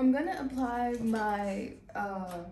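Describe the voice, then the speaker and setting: Normal pitch movement from a woman, heard with noticeable echo from the room. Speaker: beauty YouTuber. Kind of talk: tutorial. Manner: casual.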